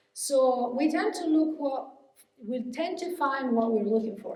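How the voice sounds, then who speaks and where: The speech comes at a fairly slow pace, with audible room echo. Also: woman. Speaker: hypnotherapist and mindset coach giving a keynote. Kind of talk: keynote speech. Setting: conference stage with audience. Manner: halting, many fillers and restarts.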